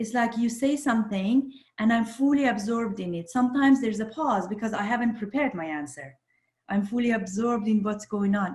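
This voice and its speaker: A woman with a non-native accent speaks at a fairly quick pace. Her fairly high voice is somewhat breathy, with ordinary pitch variation. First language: not English. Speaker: social psychologist. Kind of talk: podcast interview.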